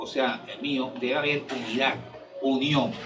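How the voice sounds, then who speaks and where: A man's medium-pitched voice at a moderate pace, with audible room echo and music in the background. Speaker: party member speaker. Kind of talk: speech at political event. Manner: halting.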